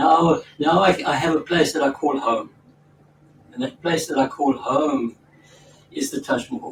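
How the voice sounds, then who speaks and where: A man at a fairly slow pace, with very wide pitch swings and long, frequent pauses. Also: fairly high pitch for a man. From South Africa. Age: 80s+. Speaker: spiritual teacher and former doctor. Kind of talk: storytelling in a conversation. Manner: halting, with repeated words.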